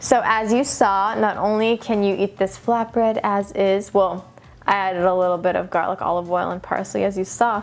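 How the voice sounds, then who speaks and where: Music plays in the background as the speaker keeps a moderate pace and fairly even intonation. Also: woman, medium pitch for a woman. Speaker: vegan cooking youtuber. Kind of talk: casual cooking tutorial. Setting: sitting on office floor at home.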